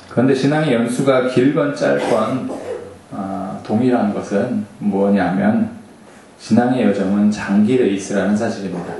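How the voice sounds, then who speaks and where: A man speaks at a fairly slow pace and a medium pitch with ordinary pitch variation, over noticeable background noise and audible room echo. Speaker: associate pastor. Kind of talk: sermon. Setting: church with microphone system. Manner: usually soft-spoken, hard to hear; trying to speak louder today.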